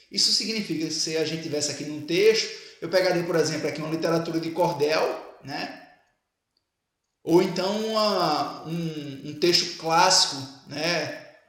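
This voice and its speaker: A high-pitched man at a moderate pace, fairly even intonation and big swings in loudness, with audible room echo. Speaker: teacher. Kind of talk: lecture.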